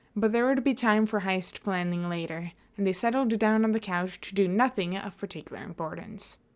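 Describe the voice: The voice shows ordinary pitch variation in plain reading aloud.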